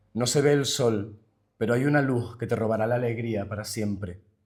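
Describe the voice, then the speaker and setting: At a moderate pace, the somewhat breathy speech keeps a fairly even intonation. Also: man. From Canary Islands. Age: 20s. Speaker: linguist and poet. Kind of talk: poetry reading.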